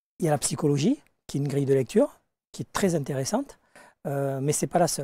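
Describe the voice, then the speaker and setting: A man speaks at a fairly quick pace in a dark, mellow tone with a fairly high pitch. His pitch varies ordinarily, and the sound is dry with no echo. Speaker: life coach and hypnosis teacher; life coach, hypnosis teacher. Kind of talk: interview. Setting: studio. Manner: direct, outspoken. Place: studio. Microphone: lapel.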